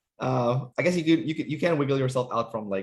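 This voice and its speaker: Lively in intonation and somewhat breathy, a man with a fairly high pitch speaks at a moderate pace. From Canada. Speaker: personality typing interviewer. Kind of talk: casual interview chat.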